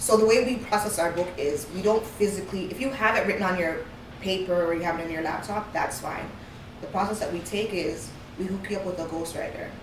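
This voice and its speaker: Over noticeable background noise and audible room echo, a woman talks at a very fast pace, her medium pitch showing ordinary variation. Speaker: author and publishing consultant. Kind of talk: interview.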